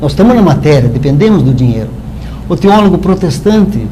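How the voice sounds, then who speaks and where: A man talks at a fairly quick pace with lively intonation. Noticeable background noise and audible room echo fill the recording. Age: 60s. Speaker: spiritist lecturer. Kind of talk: talk at spiritist meeting. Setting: live-streamed meeting.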